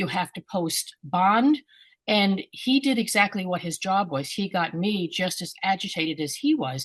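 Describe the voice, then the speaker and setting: Against a quiet background, a woman speaks at a moderate pace in a medium pitch, somewhat breathy, with very wide pitch swings. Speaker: scam victim. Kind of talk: testimony. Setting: video call.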